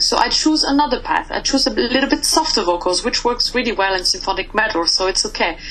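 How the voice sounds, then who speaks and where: Noticeable background noise sits under a woman speaking with a French accent. Her pitch is high and her intonation lively. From France. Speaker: metal band vocalist. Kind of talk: interview.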